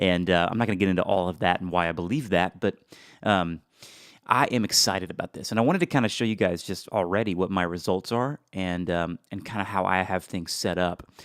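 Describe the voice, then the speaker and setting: Very clean and silent in the background, the recording is dry and close with no echo. A man with a very deep, low pitch talks at a fairly quick pace with ordinary pitch variation. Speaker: affiliate marketer. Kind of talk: screen-share tutorial. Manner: many fillers, halting.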